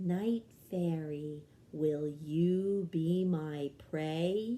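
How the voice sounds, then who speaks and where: Soft-spoken and very slow, a put-on character voice speaks at a middle pitch. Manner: soft and lulling, hypnotic.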